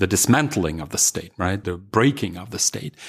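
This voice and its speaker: He speaks with a Russian accent. The man's pace is fairly quick. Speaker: historian. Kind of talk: interview.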